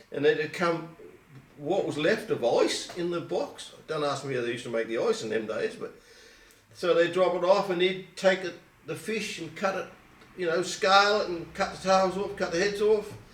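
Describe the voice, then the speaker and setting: Through noticeable background noise, a man speaks at a moderate pace with a high pitch and ordinary pitch variation. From England, Colchester, Essex. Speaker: oral history interviewee. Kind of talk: oral history interview. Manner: halting.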